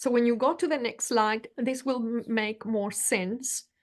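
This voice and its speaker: Ordinary pitch variation marks this voice with a Spanish accent, set against a quiet background. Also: woman. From Venezuela. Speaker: leadership coach. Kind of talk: presentation in interview.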